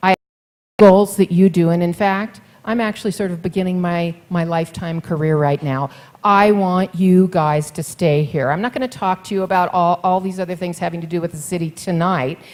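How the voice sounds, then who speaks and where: This woman has a plain, everyday voice with a fairly low pitch. She talks at a fairly quick pace with ordinary pitch variation. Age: 60s. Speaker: mayoral candidate. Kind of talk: campaign speech at forum. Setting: forum with live audience.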